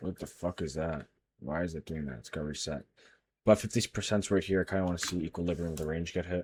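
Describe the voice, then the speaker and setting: A quiet man speaks at a very fast pace in a very deep, low pitch. His pitch variation is ordinary and the sound is dry and close with no echo. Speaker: day trader. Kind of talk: screen-share trading tutorial. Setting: livestream recording. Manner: quiet while focused; casual, thinking aloud. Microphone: muffled, covering mouth.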